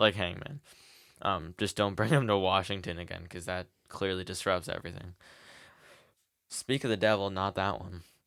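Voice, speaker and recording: A man speaks at a moderate pace with a very deep, low pitch, ordinary pitch variation, and big swings in loudness. Long, frequent pauses break up his speech on a very clean recording with a silent background. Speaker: wrestling podcast co-host. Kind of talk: casual podcast conversation.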